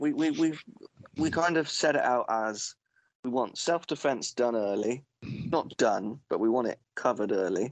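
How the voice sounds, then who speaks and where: A man talks with a British accent. His intonation is lively. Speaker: podcast co-host. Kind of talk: casual chat.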